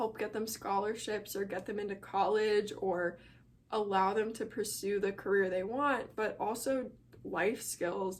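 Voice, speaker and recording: A woman talks at a moderate pace with a medium pitch. She has a Midwestern American accent. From Chicago area. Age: young. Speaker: college student. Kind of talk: casual talk to camera.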